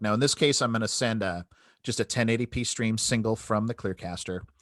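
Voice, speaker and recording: An animated man's voice at a medium pitch, fairly quick, with a quiet background and a dry, close sound free of echo. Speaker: product demo presenter. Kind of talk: product demo webinar. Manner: fast.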